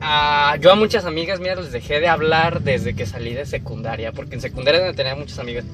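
Talking fairly quickly with hardly any pauses, a man with a Mexican accent uses a fairly high pitch and lively intonation, his loudness swinging widely over background music and audible room echo. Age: 20s. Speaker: podcast co-host. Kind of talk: casual chat.

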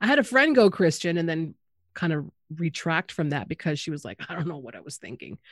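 A woman with a normal speaking voice talks at a fairly quick pace and fairly low pitch, with lively intonation and big swings in loudness, on a very clean recording with a silent background. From Canada, Anishinaabe. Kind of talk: casual chat.

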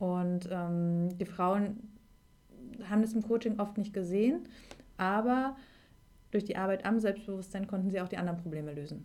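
Pausing long and often, a woman speaks at a moderate pace in a medium pitch with a dark, mellow tone and ordinary pitch variation. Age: 30s. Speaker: life coach. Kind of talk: interview.

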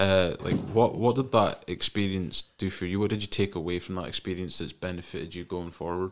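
A man with a Scottish accent, very deep and low, at a fairly quick pace with fairly even intonation. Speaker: podcast host. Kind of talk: casual chat. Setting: studio.

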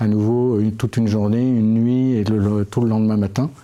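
Over noticeable background noise, the voice runs at a fairly quick pace in a monotone, flat intonation. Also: man. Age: 50s. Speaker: Alzheimer patient. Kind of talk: casual chat. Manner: halting.

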